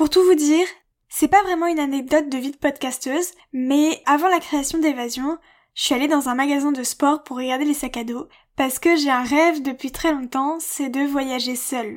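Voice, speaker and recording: On a very clean recording with a silent background, a woman with a high pitch speaks at a moderate pace with fairly even intonation. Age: 20s. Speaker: podcaster. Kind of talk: scripted self-presentation.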